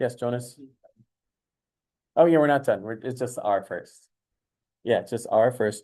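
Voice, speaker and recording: In a dark, mellow tone, a man delivers his words fairly slowly. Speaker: high school math teacher. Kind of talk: classroom lecture. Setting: classroom. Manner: animated.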